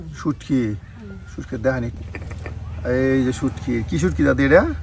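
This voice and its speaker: A man with lively intonation is heard with noticeable background noise behind him. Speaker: village cooking video narrator. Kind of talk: cooking vlog narration.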